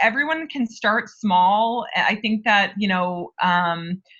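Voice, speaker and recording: Bright, sharp, fairly high voice of a woman with a New York accent. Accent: American (New York). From upstate New York (Albany). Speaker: HR director. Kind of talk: interview.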